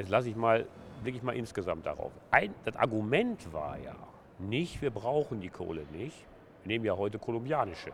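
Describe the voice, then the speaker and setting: At a moderate pace, a man with a medium pitch speaks in a somewhat breathy voice with lively intonation. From Ruhr area, Essen. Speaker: trade union leader. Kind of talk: interview.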